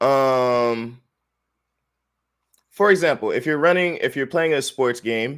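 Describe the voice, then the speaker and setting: In a very clean recording with a silent background, a man at a medium pitch sounds animated, with ordinary pitch variation. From United States, moved around (Texas, Maryland, California). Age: 20s. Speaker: Air Force veteran, student and gamer. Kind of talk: casual interview chat.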